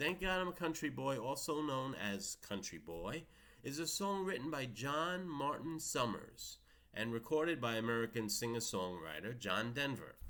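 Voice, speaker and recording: A medium-pitched man with a New York accent, bright and sharp in tone, with very wide pitch swings. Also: moderate pace. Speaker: music video blogger. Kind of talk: casual monologue with read-out facts.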